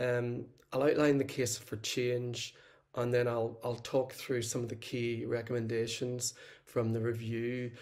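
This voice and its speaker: A man speaks at a moderate pace. His medium-pitched voice has a monotone, flat intonation. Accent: Northern Irish. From Northern Ireland. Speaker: social work lecturer. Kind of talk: conference presentation.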